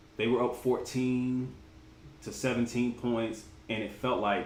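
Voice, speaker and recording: With audible room echo and noticeable background noise, a man speaks at a medium pitch. His pace is fairly slow. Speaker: sports vlogger. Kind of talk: casual commentary livestream.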